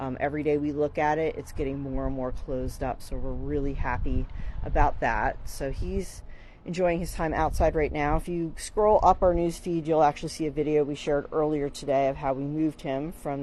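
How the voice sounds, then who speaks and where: A quiet woman with a very deep, low pitch and a dark, mellow tone, at a fairly quick pace with fairly even intonation. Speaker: marine mammal rescue center staff presenter. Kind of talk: live video walkthrough update. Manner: casual, hesitant with fillers.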